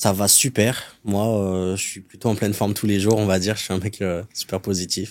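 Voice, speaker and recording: A man's fairly low voice at a moderate pace, monotone and flat, on a very clean recording with a silent background. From France (adopted from Colombia at about 3). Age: 20s. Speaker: sales closer. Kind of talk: podcast interview. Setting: studio.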